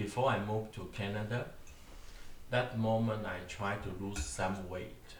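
Amid noticeable background noise and audible room echo, a man speaks fairly slowly in a fairly low pitch with ordinary pitch variation. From Taiwan. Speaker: podcast host. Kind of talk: casual chat. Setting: dinner table at home.

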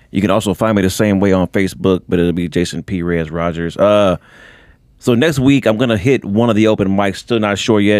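A man with a normal speaking voice, fairly low pitch and ordinary pitch variation at a fairly quick pace, in a very clean recording with a silent background. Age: 40s. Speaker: comedian. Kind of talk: casual chat. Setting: studio.

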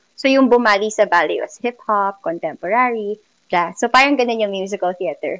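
A woman with a fairly high pitch speaks at a moderate pace with ordinary pitch variation in an unremarkable speaking voice, the sound dry and close with no echo. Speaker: musical theater performer and music teacher. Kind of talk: interview.

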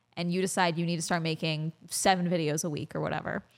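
Talking at a very fast pace, a woman keeps to a fairly low pitch. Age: 20s. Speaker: YouTuber and commentary creator. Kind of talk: casual interview chat.

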